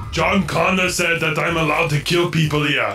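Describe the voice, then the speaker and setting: A man speaks at a moderate pace in a put-on character voice pitched fairly high. Clear background noise runs behind him. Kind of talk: movie impression for comedy. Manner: flat, robotic, literal.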